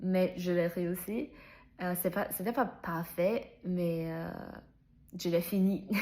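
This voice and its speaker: Speaking at a very slow pace with long, frequent pauses, a woman has a fairly low pitch, a dark, mellow tone and fairly even intonation. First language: not French (speaking French). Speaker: French learner vlogger. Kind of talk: personal vlog monologue. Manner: halting, many fillers and restarts.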